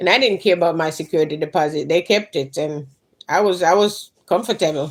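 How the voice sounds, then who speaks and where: A woman with a Jamaican accent, fairly low pitched, at a fairly quick pace with ordinary pitch variation. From Jamaica, Clarendon. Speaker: lifestyle and gardening YouTuber. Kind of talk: casual live stream chat.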